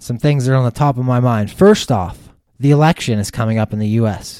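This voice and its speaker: Recorded very cleanly against a silent background, a man speaks in a medium pitch with a dark, mellow tone, the sound dry and close with no echo. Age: 30s. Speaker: fantasy football podcast host. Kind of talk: casual solo podcast monologue.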